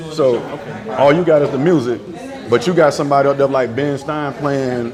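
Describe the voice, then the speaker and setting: A man with an American accent speaks at a moderate pace in a fairly high pitch, with music in the background and audible room echo. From Tampa, Florida. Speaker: DJ. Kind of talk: casual chat. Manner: animated.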